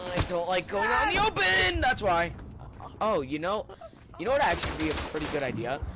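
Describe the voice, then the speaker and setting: Noticeable background noise sits under the recording. A man talks at a fairly quick pace. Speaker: gaming streamer. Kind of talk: live gameplay commentary. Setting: home, playing on TV console. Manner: loud, yelling; casual, filler-heavy.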